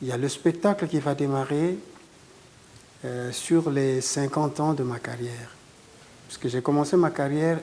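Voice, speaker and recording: Fairly slow, fairly even speech with long, frequent pauses over noticeable background noise. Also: man. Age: 60s. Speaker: guitarist. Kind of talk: interview.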